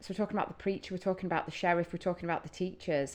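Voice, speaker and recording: In a Northern English accent, a woman speaks at a fairly low pitch with monotone, flat intonation. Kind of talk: casual music reaction talk to camera.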